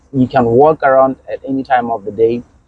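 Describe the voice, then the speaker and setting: A man at a moderate pace. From Botswana. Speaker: visitor in Japan, interviewee. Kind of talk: casual interview. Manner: hesitant, repeats words.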